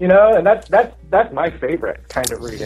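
A man speaks with an American accent and ordinary pitch variation. Noticeable noise sits in the background. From Dallas, Texas. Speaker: tarot reader and shop manager. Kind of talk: casual interview chat.

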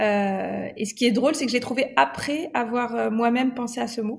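Speaking at a fairly slow pace, a woman uses a fairly high pitch with vocal fry. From Morocco. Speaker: ritual celebrant, former engineer. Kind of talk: podcast interview.

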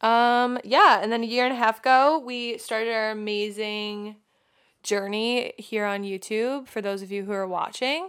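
The speaker has an American accent and an animated tone at a moderate pace. The recording is very clean, with a silent background. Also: woman, fairly high pitch for a woman, ordinary pitch variation. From Long Island, New York. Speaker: podcast co-host. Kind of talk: casual chat. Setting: home studio.

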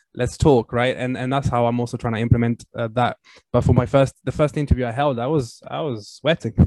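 With an Italian accent, a man talks at a fairly quick pace and medium pitch with fairly even intonation, in a dry, close sound with no echo. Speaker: game PR company owner. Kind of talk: interview. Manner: hesitant, many fillers.

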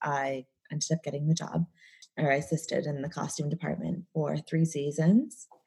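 Somewhat breathy and dark and mellow in tone, the voice carries a Midwestern accent at a moderate pace with fairly even intonation. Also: woman. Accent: American, Midwestern. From Chicago area, US Midwest. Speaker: celebrity and fashion stylist. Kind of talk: casual interview conversation. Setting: remote recording via Zoom. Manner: casual, chatty, laughs often.

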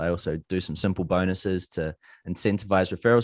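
With a New Zealand accent, a man speaks at a moderate pace and ordinary pitch variation, in a dry, close sound with no echo and a quiet background. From New Zealand, Gisborne. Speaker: online entrepreneur. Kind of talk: interview. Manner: casual.

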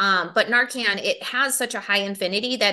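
With a Wisconsin accent, a woman talks at a moderate pace in a medium pitch with a bright, sharp tone over a quiet background. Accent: Upper Midwest (Wisconsin) American. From Milwaukee, Wisconsin (inner-city South Side). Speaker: addiction treatment program manager. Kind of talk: interview. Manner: casual, conversational with fillers.

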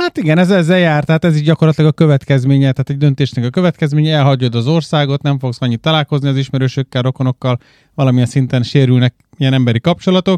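A man talks at a very fast pace in a fairly high pitch. His intonation is fairly even, and the sound is dry and close with no echo. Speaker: podcast co-host. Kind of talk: casual chat.

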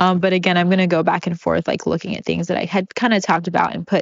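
A woman speaks at a very fast pace with a fairly low pitch. Her intonation is monotone and flat, and there is vocal fry. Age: 30s. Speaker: podcast host. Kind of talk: casual solo monologue.

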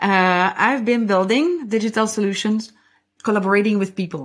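In a very clean recording with a silent background, a woman with a French accent speaks with ordinary pitch variation. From French-speaking Belgium. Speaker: podcast host and CX design coach. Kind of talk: casual chat, livestream conversation. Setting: live stream on LinkedIn and YouTube.

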